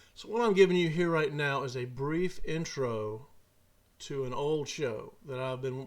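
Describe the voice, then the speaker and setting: Speaking with a Southern US accent, a man uses a fairly high pitch and ordinary pitch variation. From Mississippi. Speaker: podcast host and storyteller. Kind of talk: casual talk to camera.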